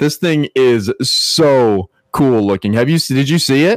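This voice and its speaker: A man speaks in an ordinary speaking voice, medium-pitched, with lively intonation. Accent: American. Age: 30s. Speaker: podcast co-host. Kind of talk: casual chat.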